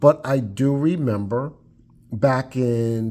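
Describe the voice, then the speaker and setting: On a very clean recording with a silent background, a man talks at a medium pitch with a dark, mellow tone. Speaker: firearms reviewer. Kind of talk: casual talk to camera.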